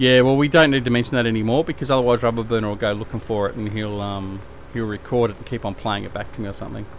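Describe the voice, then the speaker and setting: Over noticeable background noise, a man with an Australian accent talks at a very fast pace in a medium pitch. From Tasmania, Australia. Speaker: gaming live streamer. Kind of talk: casual live stream chat. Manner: hesitant, lots of fillers.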